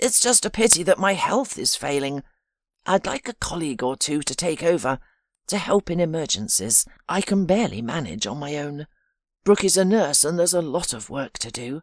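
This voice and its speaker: A shaky, put-on character voice sits at a middle pitch. It moves at a moderate pace in a very clean recording with a silent background. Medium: read story. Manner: gentle, warm.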